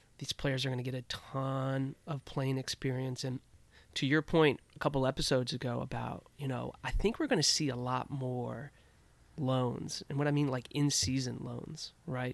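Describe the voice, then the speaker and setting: A man with an American accent speaks at a moderate pace in a flat monotone, his pitch medium, on a very clean recording with a silent background. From Washington DC area. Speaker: rugby podcast co-host. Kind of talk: casual chat.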